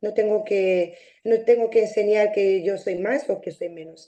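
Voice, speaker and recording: A woman's fairly high voice, dark and mellow in tone, at a fairly slow pace with ordinary pitch variation. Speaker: mediation participant. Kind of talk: interview testimony. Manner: halting.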